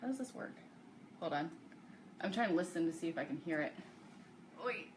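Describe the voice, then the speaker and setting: Over noticeable background noise, a woman speaks at a very fast pace. Her pitch is fairly low and her intonation lively. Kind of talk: live sales stream. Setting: live video stream. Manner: loud; casual chatty.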